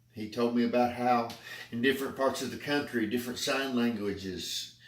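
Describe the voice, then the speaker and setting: A man speaks in an Appalachian accent, and the room echo is audible. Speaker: public speaking club member. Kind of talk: prepared speech.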